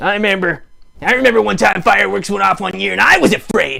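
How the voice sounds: A man does a cartoonish character voice, high in pitch with ordinary pitch variation. His tone is bright and sharp with vocal fry, and he talks at a fast pace.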